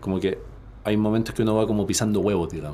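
Audible room echo surrounds the speaker. He is a man with a fairly low pitch. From Chile. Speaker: personal development coach and entrepreneur. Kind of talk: interview conversation. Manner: halting, frequent word repetitions.

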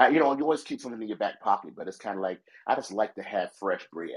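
This man has an unremarkable speaking voice with a fairly low pitch. His intonation is lively. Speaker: pastor. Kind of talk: casual chat. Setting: phone call.

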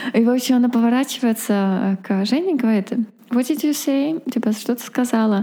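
A woman's high voice at a moderate pace, very even in loudness, over noticeable background noise. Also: ordinary pitch variation. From Russia. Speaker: podcast co-host, mother. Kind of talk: casual chat. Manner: animated.

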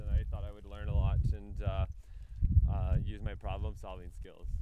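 A man talking at a fairly quick pace, with audible room echo and noticeable background noise. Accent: Canadian. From Northwest Territories, Canada (Yellowknife). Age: 20s. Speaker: cross-country cyclist. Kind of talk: interview. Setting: outdoors.

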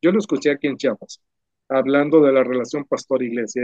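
Fairly high-pitched male voice with a dry, close sound and no echo. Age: 60s. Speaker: pastor and ministry founder. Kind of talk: casual conversation about church ministry.

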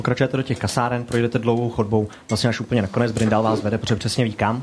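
A man speaks at a medium pitch in a somewhat breathy voice. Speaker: game master of tabletop RPG podcast. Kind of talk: tabletop role-play narration and casual chat.

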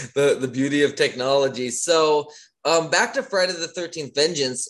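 Someone talks at a moderate pace with an American accent. It is a plain, everyday voice. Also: man. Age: 30s. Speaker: podcast host. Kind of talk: casual interview chat. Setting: video call.

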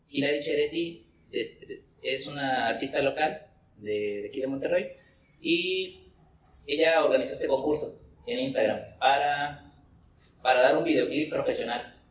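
Speaking at a fairly slow pace with long, frequent pauses, a man's voice carries audible room echo. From Coatzacoalcos, Veracruz, Mexico. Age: 20s. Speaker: musician. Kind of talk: casual chat.

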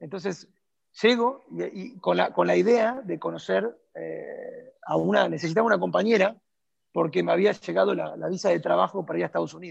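With an Argentine accent, a man speaks at a fairly quick pace. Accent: Argentine Spanish (Rioplatense). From Argentina. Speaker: tango dancer and teacher. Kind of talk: interview. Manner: halting, repeats words.

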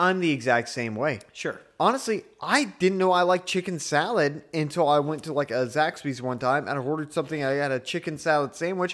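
A man's fairly high, unremarkable speaking voice with ordinary pitch variation, a fairly quick pace and hardly any pauses. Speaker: podcast co-host. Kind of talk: casual chat.

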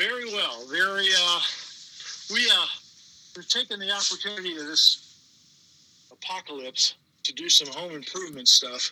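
A high-pitched man with an American accent in a raised, projected voice, lively intonation, big swings in loudness, a moderate pace and long, frequent pauses. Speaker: trivia host and city communications manager. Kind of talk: casual interview.

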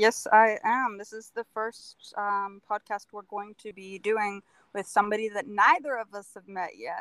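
A woman with an ordinary speaking voice uses fairly even intonation and big swings in loudness, recorded dry and close with no echo. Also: medium pitch for a woman. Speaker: podcast co-host. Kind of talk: casual interview chat. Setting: video call.

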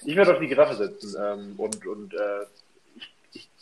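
Lively intonation carries this speech along at a moderate speed. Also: man. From northern Germany. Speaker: podcast guest. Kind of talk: casual chat. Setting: remote call from home office. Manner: halting, repeats words.

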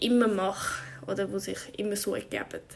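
A woman is speaking. Her pace is very slow. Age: 20s. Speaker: podcaster. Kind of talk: casual monologue. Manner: halting.

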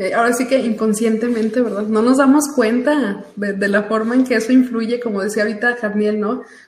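A woman with a fairly high pitch talks at a fairly quick pace with hardly any pauses and monotone, flat intonation, amid noticeable background noise. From Aguascalientes, Mexico. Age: 30s. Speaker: financial advisor. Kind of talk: casual chat.

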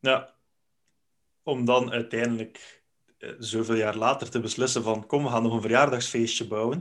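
A man's medium-pitched, flat, monotone delivery, broken by long, frequent pauses. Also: moderate pace. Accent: Flemish. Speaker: podcast host. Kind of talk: casual interview.

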